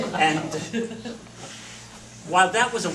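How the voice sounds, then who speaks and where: Loud and lively in intonation, a man speaks at a fairly slow pace amid noticeable background noise and audible room echo. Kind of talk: lecture. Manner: animated.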